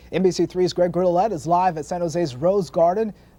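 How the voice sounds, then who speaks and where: Noticeable background noise surrounds this voice. A man speaks fairly quickly in a high pitch. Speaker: TV news anchor. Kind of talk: TV news broadcast read.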